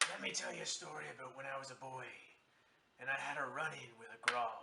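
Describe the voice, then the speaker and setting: A man's raspy put-on character voice at a medium pitch, delivered at a very fast pace. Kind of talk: campfire tall tale. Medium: voice reel. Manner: theatrical, dramatic.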